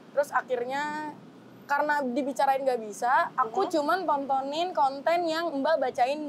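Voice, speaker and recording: Over noticeable background noise, a woman talks at a moderate pace in a high voice with ordinary pitch variation. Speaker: guest. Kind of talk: casual talk show chat. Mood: grateful, emotional, laughing. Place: street. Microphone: lapel.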